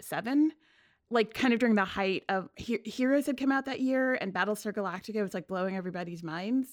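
In an American accent, this is a plain, everyday voice at a fairly quick pace. The recording is very clean with a silent background, and the pitch varies in an ordinary way. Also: woman. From New York City (Queens). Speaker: climate reporter. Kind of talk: casual interview chat.

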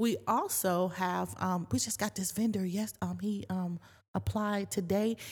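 Somewhat breathy, a woman speaks at a fairly slow pace in a very clean recording with a silent background. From US Northeast, East Orange, New Jersey. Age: 50s. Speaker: boutique owner and retired veteran. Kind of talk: casual interview chat.

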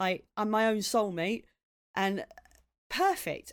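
A woman talks with a southeast English accent. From southeast England, Maidstone in Kent. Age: 40s. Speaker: comedian. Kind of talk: casual chat.

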